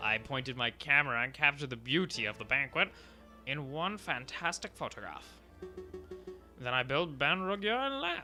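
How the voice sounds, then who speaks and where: A man performs a put-on character voice in a pompous, theatrical tone, fairly high-pitched and strained, with lively intonation. He keeps a moderate pace with long, frequent pauses over clear music in the background. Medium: game stream.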